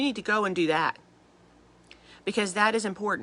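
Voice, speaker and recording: This woman talks fairly quickly, and her pitch sits in the medium range. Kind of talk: devotional talk. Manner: fast; animated.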